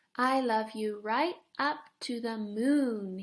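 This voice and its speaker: A woman puts on a character voice, pitched fairly high. She speaks at a very slow pace. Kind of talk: bedtime story. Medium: read story.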